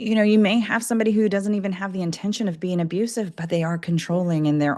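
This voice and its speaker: A woman speaks with a dark, mellow tone. Her intonation is fairly even, and the background is quiet. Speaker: nurse and domestic abuse advocate. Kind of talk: casual interview chat.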